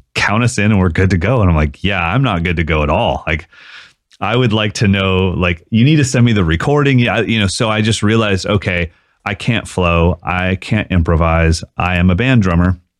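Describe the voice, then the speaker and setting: Very deep and low, a man's voice moves at a moderate pace. His loudness stays very even, and his pitch varies in an ordinary way. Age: 40s. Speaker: drummer and online drum educator. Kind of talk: casual interview chat. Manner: animated.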